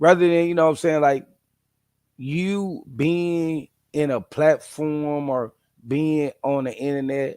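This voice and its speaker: Dark, mellow tone in a man's fairly high register. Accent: Midwestern. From St. Louis, Missouri. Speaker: dog breeder and video host. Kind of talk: casual monologue.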